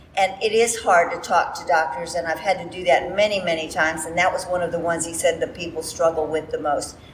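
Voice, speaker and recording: Delivered at a very fast pace with hardly any pauses, the speech has fairly even intonation over noticeable background noise. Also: woman, fairly low pitch for a woman. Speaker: credentialing partner. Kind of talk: panel discussion.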